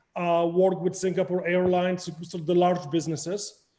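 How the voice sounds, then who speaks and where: A man speaks with a Polish accent. His pitch is high and his pace moderate. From Poland. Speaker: crypto project founder. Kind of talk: interview.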